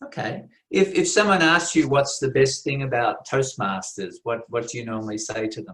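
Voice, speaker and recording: A man with an Australian accent talks at a moderate pace and a medium pitch. His intonation is lively, with big swings in loudness. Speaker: contest interviewer at a Toastmasters meeting. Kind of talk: interview. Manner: formal.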